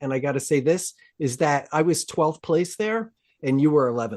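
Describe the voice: Lively intonation from a man with a fairly high pitch and slightly mellow tone, at a moderate pace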